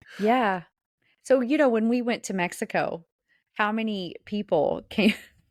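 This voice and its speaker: On a very clean recording with a silent background, a woman with a Southern US accent speaks fairly slowly at a fairly high pitch with ordinary pitch variation. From US South. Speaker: podcast co-host. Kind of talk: casual chat.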